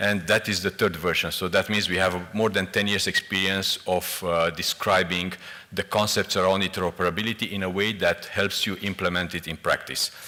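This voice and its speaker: A man talks at a fairly quick pace with hardly any pauses. His very deep, low voice has monotone, flat intonation. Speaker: EU official presenting on interoperability. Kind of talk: conference presentation. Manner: fast.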